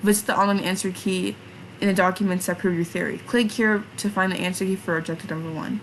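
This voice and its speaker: Noticeable background noise sits behind a woman's medium-pitched voice. She talks at a very fast pace with fairly even intonation. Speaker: vtuber streamer. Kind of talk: live stream reading game instructions aloud. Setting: live stream. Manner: halting, frequent self-corrections.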